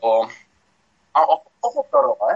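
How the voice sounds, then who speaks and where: A man talking at a very slow pace. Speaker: football pundit. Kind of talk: casual chat. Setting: video call. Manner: halting, repeats words.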